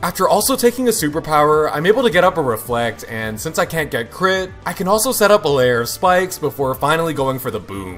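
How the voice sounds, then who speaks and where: Over music in the background, a man talks at a very fast pace with hardly any pauses, his fairly high voice making very wide pitch swings. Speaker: gaming YouTuber. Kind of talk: gameplay commentary narration. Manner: upbeat.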